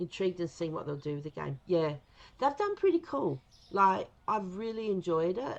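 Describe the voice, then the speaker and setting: Speaking with an Australian accent, a woman uses lively intonation. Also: medium pitch for a woman, moderate pace. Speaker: gaming streamer. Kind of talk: casual live stream chat. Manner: casual, rambling with fillers.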